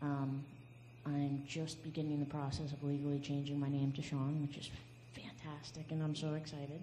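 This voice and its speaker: A woman with a very deep, low pitch speaks at a moderate pace in a dark, mellow, somewhat breathy tone with monotone, flat intonation, amid audible room echo. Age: 20s. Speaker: panelist. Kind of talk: testimony.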